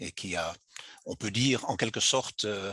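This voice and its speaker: A very slow, fairly low-pitched male voice with a bright, sharp tone and ordinary pitch variation, dry and close with no echo. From Belgium. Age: 60s. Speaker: classics teacher and author. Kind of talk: interview. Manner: halting, many hesitations.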